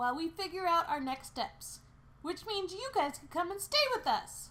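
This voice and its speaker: In a put-on character voice, the speaker talks at a moderate pace with an extremely high pitch. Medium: read story. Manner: energetic, persuasive.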